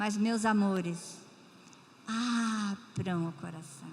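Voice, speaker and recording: A woman's voice with noticeable background noise. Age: 80s+. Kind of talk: missionary testimony in church. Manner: warm, emotional, with hesitations.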